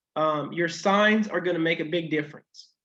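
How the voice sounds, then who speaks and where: Audible room echo surrounds a man speaking at a fairly slow pace. His pitch shows ordinary variation. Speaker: math teacher. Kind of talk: lecture. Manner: halting.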